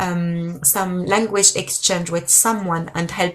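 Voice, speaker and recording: At a fairly slow pace, a woman with a French accent speaks at a fairly low pitch. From France. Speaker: language teacher live streamer. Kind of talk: live stream chat. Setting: live stream. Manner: halting.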